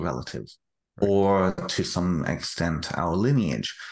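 Vocal fry runs through a man's very deep, low voice. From United Kingdom. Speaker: author. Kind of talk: interview conversation. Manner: halting, repeats words.

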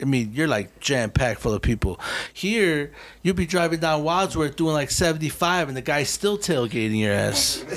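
A man with a normal speaking voice talks in an American accent at a fairly high pitch, with lively intonation and a moderate pace. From Chicago. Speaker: graffiti writer. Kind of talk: casual chat. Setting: studio. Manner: casual, profanity-heavy.

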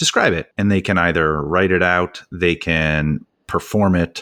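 The recording is very clean, with a silent background. A man speaks in a very deep, low pitch with a Canadian accent. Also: dry, close sound with no echo. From Canada. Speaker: podcast host and author, teacher. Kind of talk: casual interview chat.

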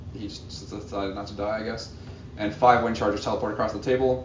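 Normal pitch movement, with clearly audible noise in the background. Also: man. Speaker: tournament player. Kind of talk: casual banter. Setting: live at a tournament event.

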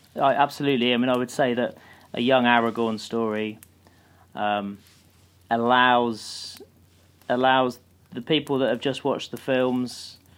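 With a British accent, a man speaks at a medium pitch. His intonation is monotone and flat, and his pace is moderate. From UK. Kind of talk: casual chat.

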